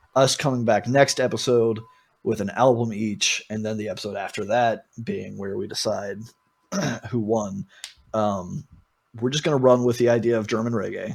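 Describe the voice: At a fairly slow pace, a man talks with fairly low pitch, vocal fry, a slightly husky edge and fairly even intonation.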